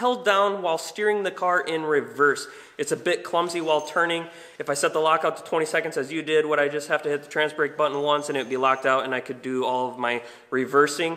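A man talks very fast, his pitch varying in an ordinary way, over a quiet background. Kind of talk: tutorial. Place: garage.

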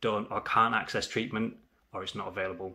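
A man's fairly low voice, monotone and flat, with a bright, sharp tone. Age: 30s. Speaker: HIV awareness vlogger. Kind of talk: personal testimony. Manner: earnest, measured. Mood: serious, reflective. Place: home room. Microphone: phone near.

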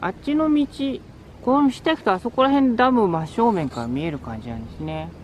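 Fairly quick speech with a slightly mellow tone. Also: woman, medium pitch for a woman, lively intonation.

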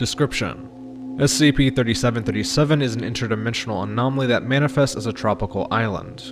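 Over music in the background, a man talks at a fairly quick pace with ordinary pitch variation. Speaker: narrator voice actor. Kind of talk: scripted document reading.

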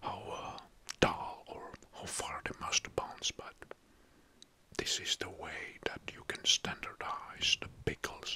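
Whispering very slowly, a man leaves long, frequent pauses and makes big swings in loudness. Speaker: video host. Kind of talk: casual explainer talk. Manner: soft-spoken, close-mic ASMR voice. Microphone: studio mic.

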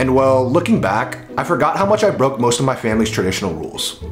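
A man speaks at a fairly quick pace. Clear music is heard in the background. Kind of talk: rhyming spoken-word vlog narration. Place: home room.

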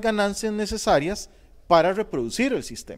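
Over a quiet background, a man speaks at a high pitch. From Costa Rica. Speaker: sociology professor. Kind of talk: panel talk. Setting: auditorium with audience. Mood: thoughtful, explanatory. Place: studio.

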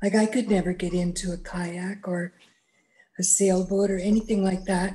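Her intonation is monotone and flat. The woman's voice is somewhat breathy, with a dark, mellow tone. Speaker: webinar participant with spinal cord injury. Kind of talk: audience question. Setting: video call. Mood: candid, curious. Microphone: video call.

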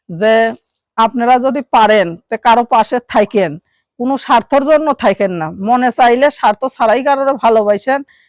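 A woman's high-pitched voice, with a dry, close sound and no echo. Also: ordinary pitch variation, very clean recording, silent background. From Bangladesh, Dinajpur. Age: 20s. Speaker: garment factory worker, single mother seeking marriage. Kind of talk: interview.

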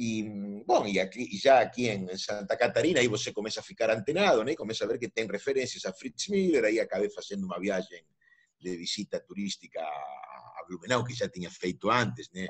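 The backdrop stays quiet. Against it, a man speaks at a fairly quick pace. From Argentina. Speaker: philosophy professor. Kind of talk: interview. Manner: halting. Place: home room. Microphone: video call.

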